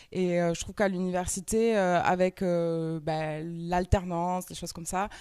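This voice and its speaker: A woman with a dark, mellow tone talks at a medium pitch in a very clean recording with a silent background. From France, Toulouse. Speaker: entrepreneur and trainer. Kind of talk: conference talk. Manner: hesitant, many fillers.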